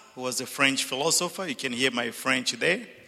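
A man's voice against noticeable background noise. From Zambia. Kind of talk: panel talk. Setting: church with live audience.

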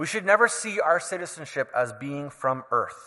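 A man with a Canadian accent talks at a fairly slow pace in a fairly high pitch. His tone is bright and sharp, with lively intonation. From Canada. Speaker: preacher. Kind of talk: sermon.

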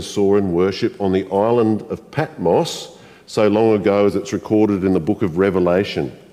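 At a moderate pace, a man with an Australian accent speaks in a fairly low pitch and a dark, mellow tone. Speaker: pastor. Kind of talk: sermon. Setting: church. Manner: warm, conversational.

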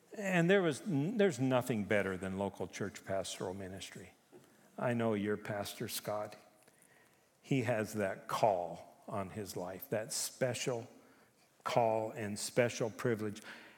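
At a fairly slow pace, a man with a fairly low pitch and ordinary pitch variation speaks amid audible room echo. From Japan. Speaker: retired pastor, chaplain. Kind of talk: sermon. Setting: church.

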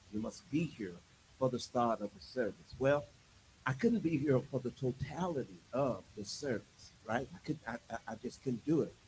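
A man's somewhat breathy, medium-pitched voice at a moderate pace, with ordinary pitch variation and big swings in loudness. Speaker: preacher. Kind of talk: sermon. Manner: animated.

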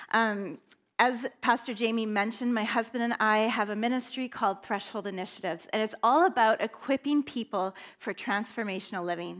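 A woman with a Canadian accent and a plain, everyday voice talks at a fairly quick pace and a fairly high pitch, with ordinary pitch variation. The recording is very clean, with a silent background. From northern British Columbia, Canada. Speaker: guest preacher. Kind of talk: sermon. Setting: church with congregation.

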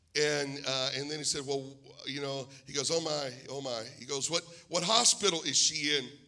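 Amid noticeable background noise and audible room echo, a man with an American accent speaks at a moderate pace, his fairly high pitch showing ordinary pitch variation. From Pennsylvania, US. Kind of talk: sermon. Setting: church.

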